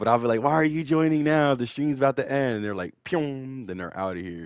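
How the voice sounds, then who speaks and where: Against a quiet background, a man with an ordinary speaking voice speaks at a fairly quick pace in a medium pitch with lively intonation. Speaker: gaming streamer. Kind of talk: live gameplay stream chat. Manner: casual.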